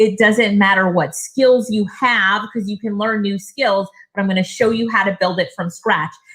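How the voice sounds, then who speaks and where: A woman speaks at medium pitch. She leaves hardly any pauses. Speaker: online business coach and speaker. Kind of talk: webinar presentation. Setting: online seminar with live chat. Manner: fast; animated.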